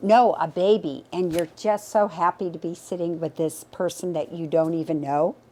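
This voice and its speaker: A woman with a dark, mellow tone and fairly low pitch talks at a moderate pace, with ordinary pitch variation and hardly any pauses. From England, Liverpool. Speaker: realtor. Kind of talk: personal storytelling. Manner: talkative.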